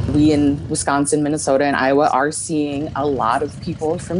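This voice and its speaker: Speaking at a moderate pace, a woman has a very deep, low pitch and fairly even intonation. Light background noise is present. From South Dakota, Pierre; South Dakota. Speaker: nurse practitioner. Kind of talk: interview. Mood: concerned, urgent. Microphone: earbuds.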